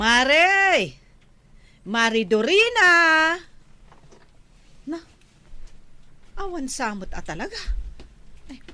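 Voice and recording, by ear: Putting on a character voice, a woman speaks very slowly in a high pitch with a bright, sharp tone, big pitch swings, and long, frequent pauses.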